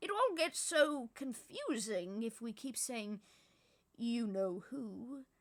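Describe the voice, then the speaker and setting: At a very slow pace, a woman puts on a character voice pitched fairly high. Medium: read story. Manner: calm, gentle.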